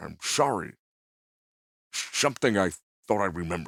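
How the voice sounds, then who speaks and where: A put-on character voice from a man, pitched fairly low and delivered at a moderate pace. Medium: read story. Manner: earnest, gentle.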